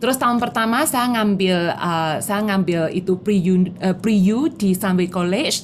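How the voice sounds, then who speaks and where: A woman with a strong Javanese accent speaks at a medium pitch, somewhat breathy, with lively intonation. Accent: strong Javanese accent in Indonesian. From Java, Indonesia. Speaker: insurance agent. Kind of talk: motivational talk mixing Indonesian and English.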